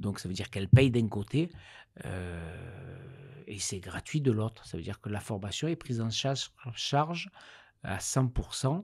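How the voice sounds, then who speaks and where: A man's somewhat breathy, medium-pitched voice in a southern French accent, at a fairly slow pace, with lively intonation, big swings in loudness and a very clean recording with a silent background. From Marseille, southern France. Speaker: director of a digital training company, web developer. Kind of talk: interview. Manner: hesitant, many fillers.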